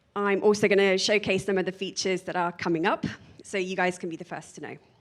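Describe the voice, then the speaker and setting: A woman with a British accent at a medium pitch, very fast, fairly even in intonation, with big swings in loudness. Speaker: product manager. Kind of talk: conference talk.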